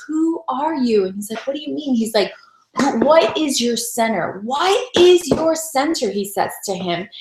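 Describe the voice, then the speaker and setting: A woman's lively intonation and moderate pace come through noticeable background noise. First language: Spanish. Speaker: sales director, motivational speaker. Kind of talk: motivational talk. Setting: home office, online broadcast. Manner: conversational.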